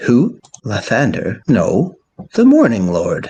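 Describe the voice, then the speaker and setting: Putting on a character voice, a man talks at a fairly slow pace. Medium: actual play. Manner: formal, archaic phrasing.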